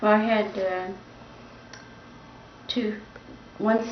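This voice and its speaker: A woman speaks very slowly in a flat monotone at a fairly high pitch. Audible room echo and noticeable background noise fill the recording. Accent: US Midwestern. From US Midwest, Indiana. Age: 90s. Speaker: grandmother recalling the Great Depression. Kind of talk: family interview. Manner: halting, with fillers.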